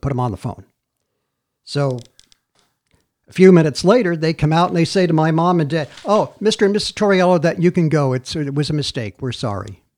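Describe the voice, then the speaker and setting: The speaker talks at a very fast pace with an American accent. The intonation is lively. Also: man, fairly high pitch for a man. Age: 60s. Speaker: podcast host. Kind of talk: casual chat.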